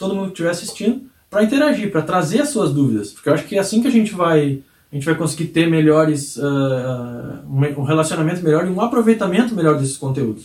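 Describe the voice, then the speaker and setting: Speaking very fast, a man uses a high pitch and lively intonation. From rural Brazil. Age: 30s. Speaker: sales trainer and channel creator. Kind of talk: video monologue.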